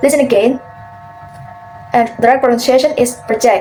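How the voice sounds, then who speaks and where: A woman's high-pitched voice with an Indonesian accent, moderate pace and fairly even intonation, with music in the background. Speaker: university student. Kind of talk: class presentation.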